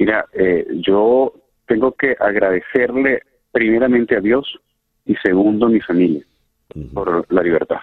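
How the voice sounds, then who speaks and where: At a fairly slow pace with long, frequent pauses, a man speaks at a medium pitch with ordinary pitch variation. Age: 40s. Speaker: former political prisoner. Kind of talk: testimony. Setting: phone call. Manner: halting.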